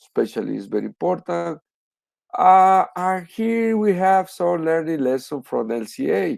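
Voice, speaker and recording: Using very wide pitch swings, a man with a Spanish accent speaks at a fairly slow pace in a dark, mellow tone, the sound dry and close with no echo. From Spanish-speaking country. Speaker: professor. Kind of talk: lecture. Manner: halting.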